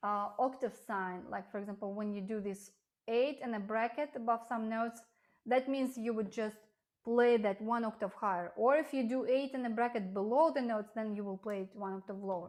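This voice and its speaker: Fairly high in pitch, a woman with an unremarkable speaking voice talks at a fairly quick pace with ordinary pitch variation, in a very clean recording with a silent background. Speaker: piano teacher. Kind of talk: lecture.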